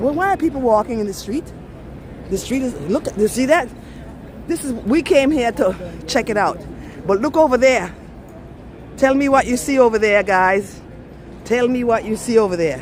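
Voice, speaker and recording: A high-pitched woman with lively intonation and long, frequent pauses, over noticeable background noise. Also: moderate pace. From Belize. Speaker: travel vlogger. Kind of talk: live-stream walking tour. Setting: outdoors, city streets. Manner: animated.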